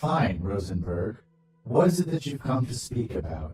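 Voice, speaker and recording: A put-on character voice at a moderate pace with very wide pitch swings, slight echo, and faint music in the background. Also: man, medium pitch for a man. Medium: read story. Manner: formal, stiff.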